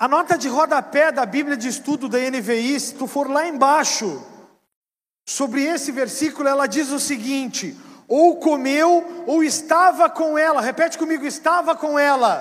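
Extremely high in pitch, a man speaks in an animated tone. His pitch varies in an ordinary way. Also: fairly slow pace. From southern Brazil. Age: 40s. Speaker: pastor. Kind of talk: sermon.

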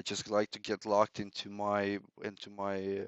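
A man's fairly low voice with a Romanian accent. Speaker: customer success manager. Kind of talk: casual interview. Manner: hesitant, many fillers.

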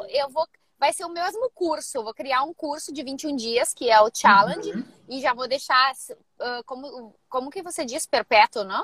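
This woman's voice sits high, with a bright, sharp tone. Her intonation is lively. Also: moderate pace. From Rio Grande do Sul, Brazil. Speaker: personal trainer. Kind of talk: live mentoring session. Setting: in a car.

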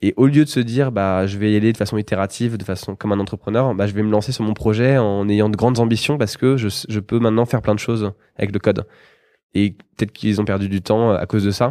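Over a quiet background, a man with a dark, mellow tone and fairly low pitch talks at a very fast pace with fairly even intonation. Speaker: coding school co-founder. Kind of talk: casual interview.

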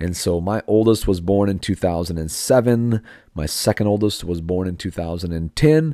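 On a very clean recording with a silent background, a man speaks with a very deep, low pitch and a dark, mellow tone. He keeps a moderate pace with ordinary pitch variation. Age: 40s. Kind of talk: podcast monologue.

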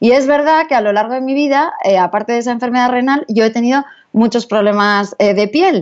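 At a fairly quick pace, a woman speaks in a high voice with ordinary pitch variation and very even loudness. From Basque Country, Spain (San Sebastián). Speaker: dermatologist. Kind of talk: interview.

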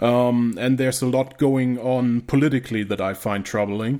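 Here is a man speaking. He has a German accent. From northern Germany, rural. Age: 20s. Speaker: YouTube creator, survivalist. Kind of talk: casual chat.

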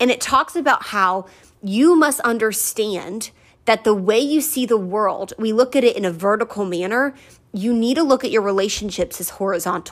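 Her pitch is fairly high and her tone is animated. The woman talks at a fairly quick pace with lively intonation. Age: 20s. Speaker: faith-based podcast host. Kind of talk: motivational monologue. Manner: loud.

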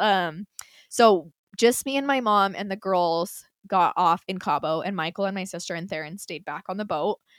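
In an American accent, a woman speaks at a moderate pace and medium pitch with ordinary pitch variation and big swings in loudness, the sound dry and close with no echo in a very clean recording with a silent background. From Utah. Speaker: podcast co-host. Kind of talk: casual chat.

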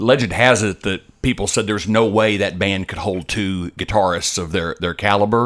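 With an ordinary speaking voice, a man talks at a moderate pace and a fairly low pitch, using fairly even intonation and hardly any pauses. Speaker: podcast co-host. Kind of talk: casual podcast banter about music. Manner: jokey, laughs often.

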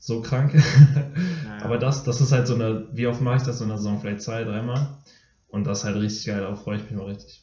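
At a fairly quick pace, a man talks in a somewhat breathy voice at a medium pitch with ordinary pitch variation. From Germany, Dortmund. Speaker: middle-distance runner, podcast co-host. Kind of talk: casual chat.

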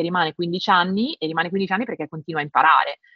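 Very fast in pace, a woman speaks at a fairly low pitch with fairly even intonation. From northern Italy, Milan province. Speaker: translator and tech industry manager. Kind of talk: casual interview conversation. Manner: halting, many repetitions and fillers.

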